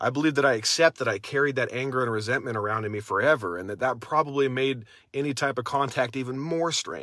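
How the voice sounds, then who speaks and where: A man's bright, sharp tone at a medium pitch, very fast with hardly any pauses and ordinary pitch variation, on a very clean recording with a silent background. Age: 30s. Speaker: podcast host, recovering addict sharing his story. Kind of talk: casual personal monologue livestream. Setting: in a car outside a house. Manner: casual, halting with fillers.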